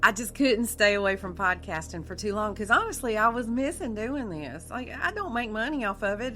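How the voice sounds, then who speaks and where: In a South Carolina accent, a woman talks with lively intonation, her fairly high pitch carrying a bright, sharp tone. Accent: Southern US (South Carolina). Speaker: podcast host. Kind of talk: true crime narration. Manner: casual, conversational with fillers.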